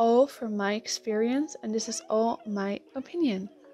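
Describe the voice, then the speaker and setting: With music in the background, a woman with a Dutch accent speaks at a fairly slow pace, her fairly high pitch held in fairly even intonation. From Netherlands. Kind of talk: casual talk to camera. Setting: earphone mic.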